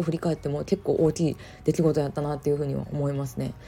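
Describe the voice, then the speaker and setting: With a dark, mellow tone and a somewhat breathy quality, a woman speaks at a very fast pace. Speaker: online business coach and podcaster. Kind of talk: casual solo talk.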